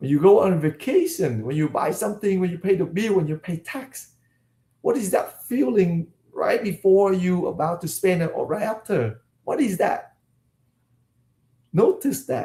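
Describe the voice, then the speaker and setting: Speaking with a Vietnamese accent, a man uses a high pitch, lively intonation and a dark, mellow tone. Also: moderate pace. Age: 50s. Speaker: life coach, former dentist. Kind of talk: online coaching session.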